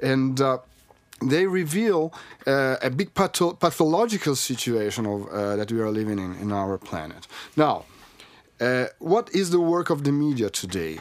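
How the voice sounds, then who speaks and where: A man talks with an Italian accent at a fairly high pitch. His pitch swings very widely. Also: moderate pace. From Italy. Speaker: journalist. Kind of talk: casual chat.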